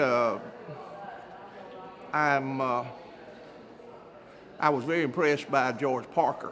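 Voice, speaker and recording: Speaking at a fairly slow pace with long, frequent pauses, a man is heard in audible room echo over noticeable background noise. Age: 70s. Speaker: event attendee interviewed. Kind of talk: post-event interview.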